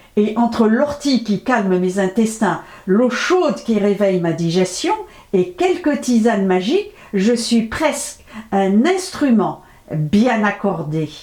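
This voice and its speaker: Speaking at a very slow pace, a woman with a fairly high pitch makes very wide pitch swings while keeping her loudness very even, with noticeable background noise behind her. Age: 70s. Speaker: natural health vlogger. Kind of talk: health advice monologue to camera.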